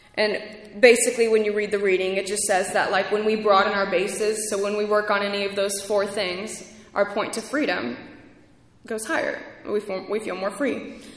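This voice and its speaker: A woman of medium pitch speaks at a moderate pace with fairly even intonation. Noticeable background noise and audible room echo fill the recording. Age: 20s. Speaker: podcast host and recovery speaker. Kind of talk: testimony at a recovery convention. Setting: stage with audience at a convention. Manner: shaky.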